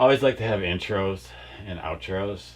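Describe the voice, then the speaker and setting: His intonation is lively and his accent American. The man's voice comes out somewhat breathy. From Wisconsin. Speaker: rock band singer. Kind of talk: interview. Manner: casual, hesitant with fillers.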